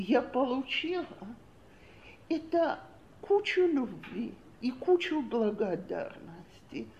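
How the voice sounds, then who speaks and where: A woman speaks at a very slow pace in a high voice with very wide pitch swings. Audible room echo surrounds her. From Soviet Union. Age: 60s. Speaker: women's parenting class teacher. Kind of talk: lecture.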